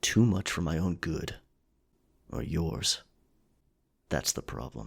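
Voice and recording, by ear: A man's put-on character voice at an extremely low pitch, with vocal fry, a slightly husky edge, big pitch swings and a slow pace, on a very clean recording with a silent background.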